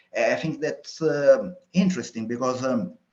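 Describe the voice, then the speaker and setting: A man of fairly high pitch with an Italian accent, at a fairly slow pace. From Italy, Sicily. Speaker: entrepreneur, newsletter creator. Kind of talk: research interview. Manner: halting, many fillers.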